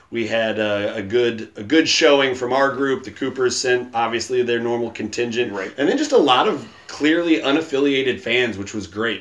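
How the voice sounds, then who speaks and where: The tone is playful, at a moderate pace with hardly any pauses. Pitch varies in an ordinary way over noticeable background noise. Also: man, medium pitch for a man. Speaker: podcast host. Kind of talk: casual chat. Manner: joking, playful.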